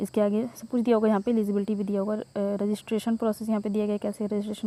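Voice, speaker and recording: Flat, monotone intonation from a woman at a medium pitch. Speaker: job news youtuber. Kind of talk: tutorial. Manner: hesitant, with fillers.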